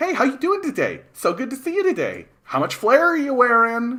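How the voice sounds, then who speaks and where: In a high pitch, a put-on character voice speaks at a moderate pace. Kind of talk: scripted customer-service patter. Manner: fake cheerful, forced.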